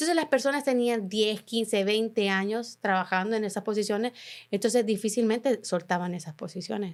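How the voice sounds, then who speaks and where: In a very clean recording with a silent background, a woman speaks fairly quickly in a fairly high pitch with ordinary pitch variation. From Honduras. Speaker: journalist. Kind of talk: interview. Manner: halting.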